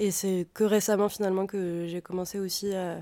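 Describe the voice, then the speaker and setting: A woman speaks at a moderate pace in a medium-pitched voice with a dark, mellow tone. Her intonation is flat and monotone, and the recording is very clean with a silent background. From France, Auvergne. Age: 20s. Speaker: musician. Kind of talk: interview. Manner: halting.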